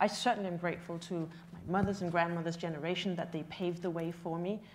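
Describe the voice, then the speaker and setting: A woman's fairly low voice, very fast, with monotone, flat intonation. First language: not English. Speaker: panelist in urban development. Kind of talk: panel discussion. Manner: halting.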